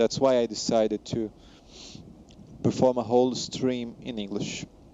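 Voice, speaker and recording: A man with a Portuguese accent speaks very slowly at medium pitch with fairly even intonation. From Brazil. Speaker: flight sim streamer, commercial pilot. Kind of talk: live stream chat reading viewer comments. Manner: halting, frequent self-corrections.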